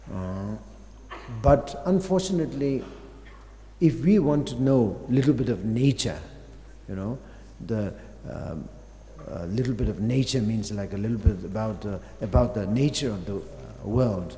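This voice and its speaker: Music plays behind a man with a medium-pitched voice, lively intonation and big swings in loudness. He keeps a moderate pace, broken by long, frequent pauses. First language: Tibetan. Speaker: Buddhist master teaching. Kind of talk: dharma teaching. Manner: halting, many fillers.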